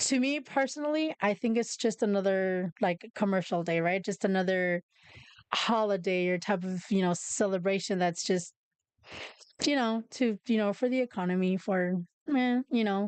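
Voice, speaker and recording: Speaking at a moderate pace with a Spanish accent, a woman uses a medium-pitched voice with ordinary pitch variation and very even loudness, the sound dry and close with no echo. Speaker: podcast host. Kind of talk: casual chat. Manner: halting.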